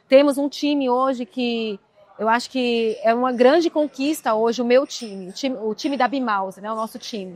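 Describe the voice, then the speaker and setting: This woman talks at a moderate pace with a high pitch. Her pitch varies in an ordinary way. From Brazil, Minas Gerais (Cerrado Mineiro). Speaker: entrepreneur. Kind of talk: casual chat.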